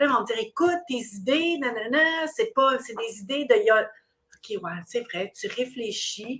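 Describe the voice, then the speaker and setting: With a Quebec accent, a woman speaks at a high pitch and a fairly slow pace, her voice making very wide pitch swings. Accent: Québécois French. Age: 60s. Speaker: recruitment business owner. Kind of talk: interview. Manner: halting.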